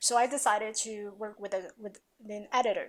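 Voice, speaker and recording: With fairly even intonation, a woman speaks at a fairly high pitch and a moderate pace. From Taiwan, then New York. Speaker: confidence coach and author. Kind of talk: podcast interview.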